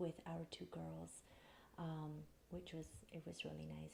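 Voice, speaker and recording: A soft-spoken woman talks at a moderate pace. Her tone is calm. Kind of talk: soft spoken ASMR. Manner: soft-spoken, calm.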